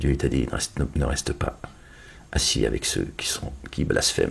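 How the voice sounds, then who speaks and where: With noticeable background noise behind him, a man with a very deep, low pitch talks at a moderate pace. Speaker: religious commentator. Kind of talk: online religious monologue. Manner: loud.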